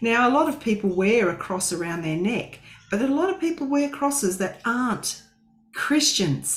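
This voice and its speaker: Speaking at a moderate pace with an Australian accent, a woman uses a fairly high pitch and very wide pitch swings. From Western Australia. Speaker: co-host of Bible study. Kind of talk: livestream Bible study.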